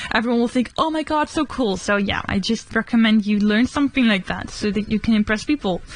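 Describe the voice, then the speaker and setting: Over noticeable background noise, a woman with a Dutch accent talks at a fairly quick pace. Her pitch is fairly high, with ordinary variation. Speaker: vlogger. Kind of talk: casual chat. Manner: casual.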